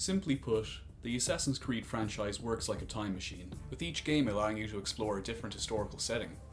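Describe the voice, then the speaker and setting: With an Irish accent, a man speaks at a very fast pace in a fairly low pitch and with lively intonation. Music plays in the background. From Ireland. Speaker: former tour director. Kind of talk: video essay narration.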